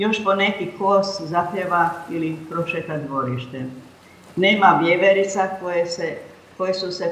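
Noticeable background noise sits behind this recording. The woman speaking has a fairly low pitch. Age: 80s+. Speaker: poet and memoir author. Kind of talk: memoir reading.

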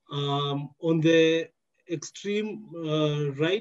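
Ordinary pitch variation marks this man's speech. Nothing intrudes from behind him in the quiet background. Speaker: event moderator. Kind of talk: housekeeping announcement. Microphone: headset.

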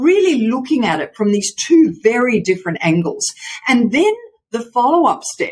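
Over light background noise, a somewhat breathy woman speaks at a moderate pace with very wide pitch swings. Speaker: remote podcast guest, voice coach. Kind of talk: interview answer. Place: home room.

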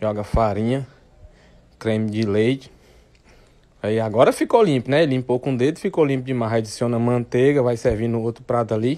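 Long, frequent pauses break up a man's speech at a moderate pace. His pitch is medium and his intonation fairly even. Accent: northeastern Brazilian. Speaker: video narrator. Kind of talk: comedic commentary over food video. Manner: joking, sarcastic.

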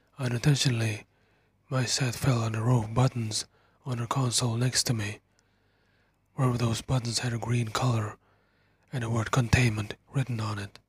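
Somewhat breathy, a man speaks at a moderate pace in a monotone, flat intonation. Long, frequent pauses break up his speech. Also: medium pitch for a man. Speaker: horror story narrator. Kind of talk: whispered first-person horror story narration. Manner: soft-spoken ASMR delivery.

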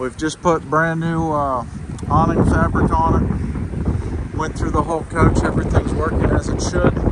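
Long, frequent pauses break up the speech, which sounds dry with no echo while loud background noise plays. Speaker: RV salesman. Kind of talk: walkaround sales commentary. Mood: relaxed, casual. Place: street. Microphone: phone near.

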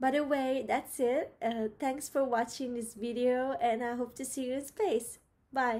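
Her voice is high-pitched, and the woman has a dark, mellow tone. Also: fairly even intonation, fairly slow pace. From Rome, Italy; Italy. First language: Italian. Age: 20s. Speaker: biology student. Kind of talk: prepared video application. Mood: cheerful, eager. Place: home room. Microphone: webcam.

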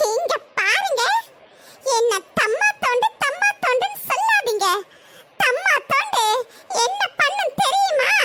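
A cartoonish character voice at an extremely high pitch, very slow in pace, with ordinary pitch variation and very even loudness. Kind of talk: comic overacting. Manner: loud, quarrelsome.

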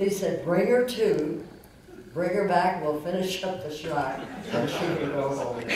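Lively intonation carries through strong room echo and noticeable background noise. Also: woman. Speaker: actress. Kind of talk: interview answer. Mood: warm, fond. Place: stage. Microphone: handheld.

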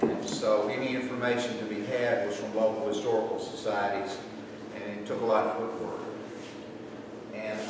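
A man with an American accent speaks with long, frequent pauses. Strong room echo and noticeable background noise surround him. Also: moderate pace. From Tennessee. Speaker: lecturer, historic preservationist. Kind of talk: lecture. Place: hall. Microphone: camera far.

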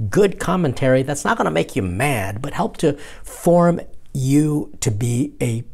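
Somewhat breathy, a man speaks at a fairly slow pace with very wide pitch swings. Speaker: priest show host. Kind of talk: casual vlog chat. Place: home room. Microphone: lapel.

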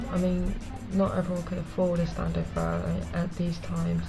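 A woman with a British accent speaks at a moderate pace while clear music plays behind her. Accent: British-sounding. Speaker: vlogger. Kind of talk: casual talk to camera. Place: home room. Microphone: webcam.

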